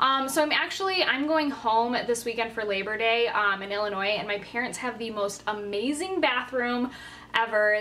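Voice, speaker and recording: The speaker is a woman. The rise and fall of her pitch is ordinary. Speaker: beauty vlogger. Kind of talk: casual vlog chat. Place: home room. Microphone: phone near.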